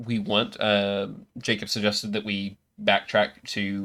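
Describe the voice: Against a quiet background, someone does plain reading aloud with ordinary pitch variation.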